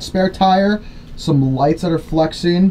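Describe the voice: A man talks at a fairly slow pace in a fairly high pitch. His tone is slightly mellow, with ordinary pitch variation.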